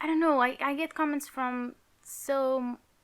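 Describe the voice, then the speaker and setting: The speaker has a Portuguese accent and keeps a fairly slow pace. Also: woman. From Portugal. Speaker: YouTuber, Sims builder. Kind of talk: casual gaming commentary. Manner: halting.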